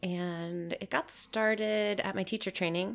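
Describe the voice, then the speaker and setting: A woman speaks with a Midwestern American accent at a fairly low pitch and a moderate pace. The recording is very clean, with a silent background. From Michigan, US. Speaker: permaculture teacher and designer. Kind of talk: casual conversation.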